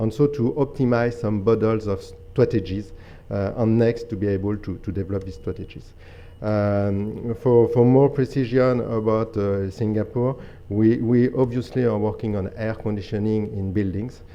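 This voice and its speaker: A man with a French accent, medium pitch, moderate pace and fairly even intonation. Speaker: energy company program director. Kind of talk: conference presentation. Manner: halting, many fillers.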